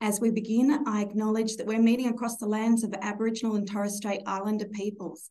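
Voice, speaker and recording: A dark, mellow tone marks this woman's speech. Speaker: bank executive webinar host. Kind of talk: formal webinar introduction. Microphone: video call.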